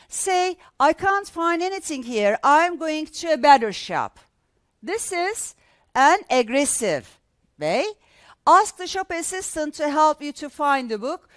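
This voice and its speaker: A woman with a Turkish accent speaks high and fairly slowly, with lively intonation. Her loudness swings widely, and the sound is dry and close with no echo. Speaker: English teacher. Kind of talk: lecture. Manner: halting.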